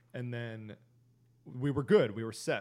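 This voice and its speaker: This is a man with a plain, everyday voice. His pitch sits at a medium level. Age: 20s. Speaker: podcast co-host. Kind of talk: casual chat.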